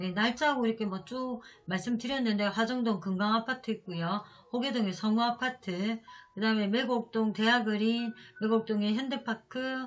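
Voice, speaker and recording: With music playing in the background, a woman speaks at a moderate pace in a fairly high voice. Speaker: real estate auction consultant. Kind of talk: tutorial.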